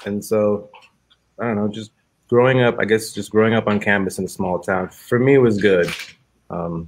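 This man has a fairly low pitch with ordinary pitch variation. He speaks at a moderate pace. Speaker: discussion guest, filmmaker. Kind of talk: panel discussion. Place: home room. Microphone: video call.

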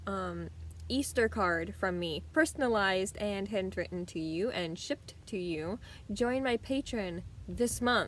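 A woman talks at a fairly slow pace. The sound is dry with no echo, and there is light background noise. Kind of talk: casual vlog chat. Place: home room. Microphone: phone near.

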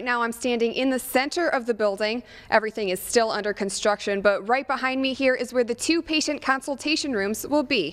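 A woman speaks at a fairly quick pace in a high voice, with ordinary pitch variation, hardly any pauses and a quiet background. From American. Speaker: TV news anchor and reporter. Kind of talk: live field reporter delivery. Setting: TV studio and on location. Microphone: handheld.

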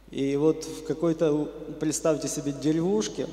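Audible room echo surrounds the voice. A man speaks with fairly even intonation. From western Ukraine. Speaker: church member giving testimony. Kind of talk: testimony / sermon-like talk. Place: church. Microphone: handheld.

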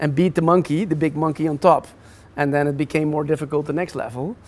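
The man's voice is fairly high in pitch. He talks at a fairly quick pace with fairly even intonation. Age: 40s. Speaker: entrepreneur; guest. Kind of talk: interview. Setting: office. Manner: halting. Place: hall. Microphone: lapel.

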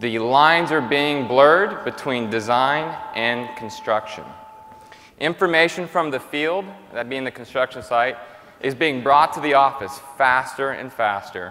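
The man's intonation is lively. He speaks fairly slowly. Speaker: keynote presenter. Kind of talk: conference keynote presentation. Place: stage. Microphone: lapel.

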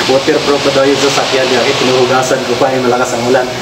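A man's voice over noticeable background noise. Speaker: driver vlogger. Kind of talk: casual vlog chat. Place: garage. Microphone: phone near.

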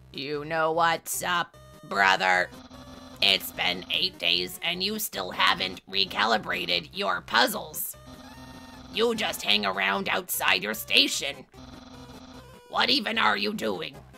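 In a put-on character voice with very deep, low pitch, a woman speaks at a fairly slow pace with long, frequent pauses while clear music plays in the background. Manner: pompous, loud, excitable.

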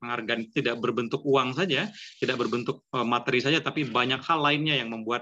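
At a very fast pace, a man talks in a bright, sharp tone with ordinary pitch variation. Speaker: online writing class moderator. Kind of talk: moderating an online class. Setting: video call. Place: home room. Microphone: video call.

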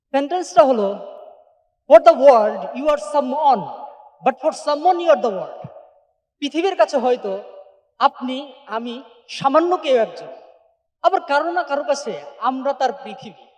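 An extremely high-pitched male voice with ordinary pitch variation and big swings in loudness. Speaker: entrepreneur. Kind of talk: motivational speech. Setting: stage with audience.

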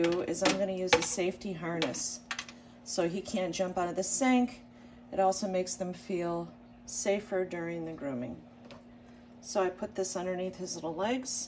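A woman talks at a moderate pace. Light background noise is audible. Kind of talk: tutorial. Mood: calm, soothing. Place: home room.

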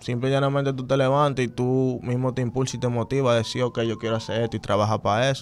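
In a Dominican accent, the speaker rushes along at a very fast pace with hardly any pauses and a monotone, flat intonation over light background noise. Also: man. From Dominican Republic, Santo Domingo; Dominican Republic. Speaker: urban music artist; interview guest. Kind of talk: casual interview. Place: studio. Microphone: studio mic.

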